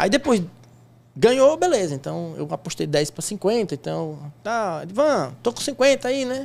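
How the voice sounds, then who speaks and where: A man speaks with very wide swings in pitch. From Sergipe, Brazilian Northeast. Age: 40s. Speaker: sports bettor and teacher; teacher. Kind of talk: interview. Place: studio. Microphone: studio mic.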